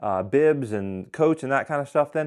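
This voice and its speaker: This man's intonation is lively, and he moves at a fairly quick pace. The background is quiet. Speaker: hunting gear reviewer. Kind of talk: gear review talk. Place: home room. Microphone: lapel.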